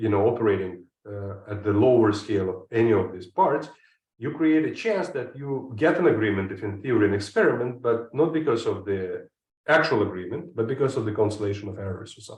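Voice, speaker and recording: Speaking at a fairly quick pace with a non-native accent, a man uses a medium pitch, lively intonation and a somewhat breathy voice, with audible room echo around him. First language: not English. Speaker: chemistry professor. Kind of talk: lecture. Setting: online seminar. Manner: hesitant, frequent uh fillers.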